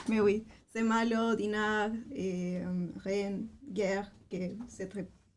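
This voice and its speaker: In a Spanish accent, a woman at medium pitch speaks at a very slow pace with monotone, flat intonation. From Chile. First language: Spanish (speaking French). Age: 20s. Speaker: language assistant. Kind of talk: interview. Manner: halting, many hesitations.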